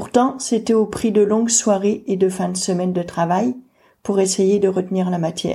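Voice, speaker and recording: A woman talks at a moderate pace in a medium pitch, somewhat breathy, with a dark, mellow tone. Her pitch varies in an ordinary way, and the recording is very clean with a silent background. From France. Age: 40s. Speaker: person with hydrocephalus sharing her story. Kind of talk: personal testimony narration.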